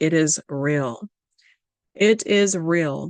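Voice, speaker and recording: A woman with a Southern US accent talks in a fairly low pitch with lively intonation. The sound is dry and close, with no echo. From Louisiana, US South. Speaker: religious video presenter. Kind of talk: prophecy lecture reading documents. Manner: halting, with fillers and self-corrections.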